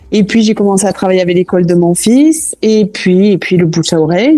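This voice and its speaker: The woman's tone is dark and mellow. Her pitch varies in an ordinary way. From southwest France, Toulouse. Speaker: cooking school founder. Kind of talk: podcast interview.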